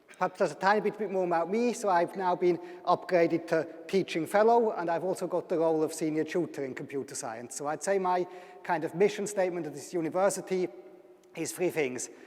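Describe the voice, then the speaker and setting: Amid noticeable background noise, a man talks at a very fast pace in a high voice with ordinary pitch variation. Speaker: university lecturer. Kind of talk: public lecture.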